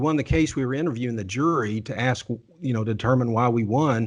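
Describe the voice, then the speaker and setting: Speaking at a fairly quick pace with a Texan accent, a man uses a medium pitch and ordinary pitch variation against a quiet background. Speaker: lawyer and podcast host. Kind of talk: interview. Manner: halting, many repetitions and restarts.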